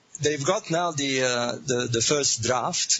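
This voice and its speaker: Noticeable background noise behind a man speaking with ordinary pitch variation. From Egypt, Alexandria. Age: 60s. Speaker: author. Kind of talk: interview. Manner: hesitant, many fillers.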